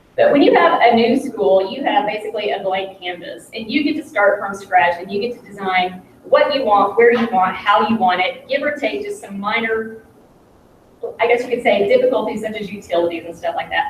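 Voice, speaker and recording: A woman speaks at a fairly quick pace with a fairly high pitch and ordinary pitch variation. Her loudness swings widely, and there is noticeable background noise. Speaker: construction project manager. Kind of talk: public presentation. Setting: school meeting, livestreamed.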